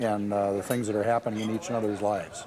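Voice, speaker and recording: A man with a Wisconsin accent at a very fast pace, fairly even intonation, and noticeable background noise. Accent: Upper Midwest (Wisconsin). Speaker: football fan. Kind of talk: documentary interview.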